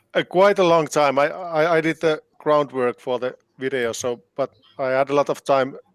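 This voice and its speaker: In a Finnish accent, a man talks at a moderate pace with a fairly high pitch and ordinary pitch variation, the sound dry and close with no echo. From Finland. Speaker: band keyboardist and composer. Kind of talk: interview. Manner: halting.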